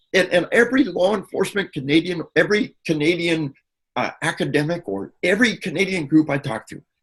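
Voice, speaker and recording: Lively in intonation, a man speaks at a high pitch and a moderate pace. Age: 60s. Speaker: researcher speaking on violence and media. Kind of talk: interview. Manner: animated.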